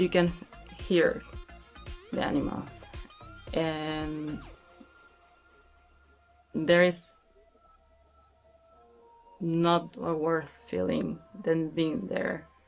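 Faint music plays in the background as a woman with a fairly low pitch speaks at a very slow pace, leaving long, frequent pauses. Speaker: interviewee. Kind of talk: interview answer. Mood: serious, reflective. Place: studio.

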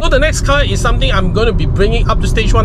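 Loud background noise sits behind a man's voice. The sound itself is dry with no echo. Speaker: car vlogger. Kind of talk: casual vlog chat. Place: car. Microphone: phone near.

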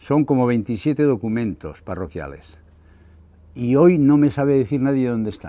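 A man talks at a fairly slow pace in a dark, mellow tone. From Navarre, Spain (Larraga); Navarre, Spain. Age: 70s. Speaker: retired local historian and author. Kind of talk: book presentation talk. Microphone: lapel.

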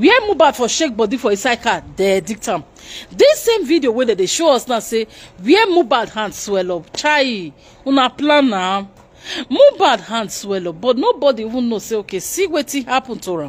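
A woman speaks at a moderate pace in a high pitch, with very wide pitch swings. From Nigeria. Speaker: YouTube news commentator; commentary vlogger. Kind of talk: live broadcast commentary. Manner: animated. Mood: upset, impassioned. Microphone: phone near.

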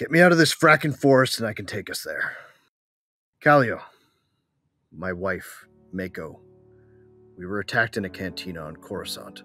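Over music in the background, a man in a put-on character voice sounds gruff and furious, his medium pitch making very wide swings and his loudness shifting widely, at a moderate pace with long, frequent pauses. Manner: gruff, grieving then furious.

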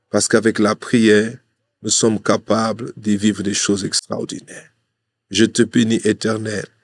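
At a fairly slow pace, a man talks at fairly low pitch in a monotone, flat intonation, with a dry sound with no echo and a quiet background. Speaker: preacher. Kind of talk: sermon with prayer. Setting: studio. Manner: fervent, declamatory, earnest, pleading. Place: studio. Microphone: studio mic.

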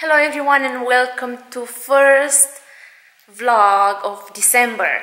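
A woman speaks very slowly at a high pitch with ordinary variation. Audible room echo surrounds her voice. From Romania. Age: 30s. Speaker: stay-at-home mom vlogger. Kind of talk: casual talk to camera. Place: home room. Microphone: phone near.

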